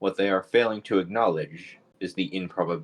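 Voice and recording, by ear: Natural-voiced reading aloud.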